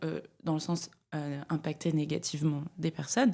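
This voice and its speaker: On a very clean recording with a silent background, a woman talks at a fairly slow pace. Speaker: climate media founder and speaker. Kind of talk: interview conversation. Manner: loud; hesitant, many fillers.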